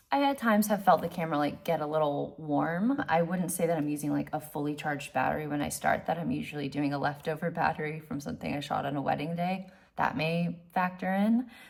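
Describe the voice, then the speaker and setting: At a very fast pace, a woman talks in a very deep, low pitch. Her pitch variation is ordinary. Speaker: wedding photographer. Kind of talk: casual tutorial vlog. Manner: halting, repeats words.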